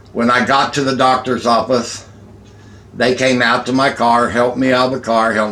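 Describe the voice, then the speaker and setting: At a moderate pace, a man speaks in a medium-pitched voice with audible room echo. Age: 50s. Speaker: vlogger. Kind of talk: casual chat.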